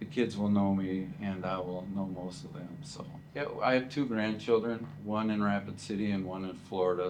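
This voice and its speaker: With audible room echo, a man in an American accent speaks with ordinary pitch variation. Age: 60s. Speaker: retiring school teacher. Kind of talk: interview.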